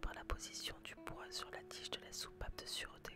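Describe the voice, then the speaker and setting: Someone whispers at a moderate pace, with noticeable background noise around the voice. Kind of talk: whispered educational narration about history and inventions. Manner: whispered, soft-spoken.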